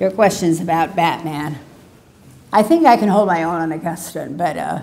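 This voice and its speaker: Amid audible room echo, a woman with a dark, mellow tone and a fairly low pitch speaks at a moderate pace with ordinary pitch variation. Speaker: professor. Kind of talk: Q and A; lecture.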